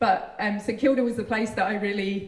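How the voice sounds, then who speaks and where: The speaker has a British accent and fairly even intonation. Noticeable background noise is present. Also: woman. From UK. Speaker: university ecologist. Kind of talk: public speech.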